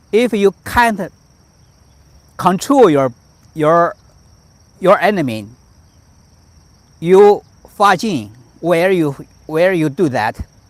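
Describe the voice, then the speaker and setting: In a Chinese accent, a man speaks at a very slow pace with long, frequent pauses. His high voice makes very wide pitch swings. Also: dry, close sound with no echo. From China, Shandong Province. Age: 50s. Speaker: tai chi master. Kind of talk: live-stream teaching. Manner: halting, many repetitions.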